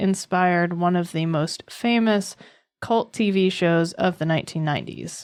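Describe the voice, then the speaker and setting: In a plain, everyday voice, a woman with an American accent talks at a fairly slow pace, her pitch medium with ordinary variation, against a quiet background. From US East Coast. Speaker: podcast co-host. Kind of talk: podcast episode intro; casual chat.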